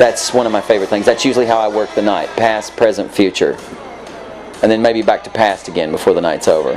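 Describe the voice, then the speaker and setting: A man talking at a very fast pace, crowd noise in the background. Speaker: DJ and music producer. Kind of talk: interview. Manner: animated.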